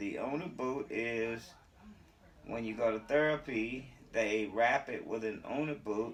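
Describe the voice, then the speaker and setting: Here is a man in a plain, everyday voice at medium pitch. He speaks at a fairly slow pace with ordinary pitch variation. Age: 60s. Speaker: vlogger with sickle cell. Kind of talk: casual how-to vlog. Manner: casual conversational.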